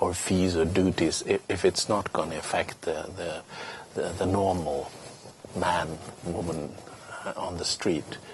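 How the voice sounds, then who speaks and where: A man speaks in a very deep, low pitch with monotone, flat intonation. Long, frequent pauses break his speech over noticeable background noise. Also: fairly slow pace. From Sweden. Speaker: politician. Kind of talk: interview. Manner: halting, many repeated words.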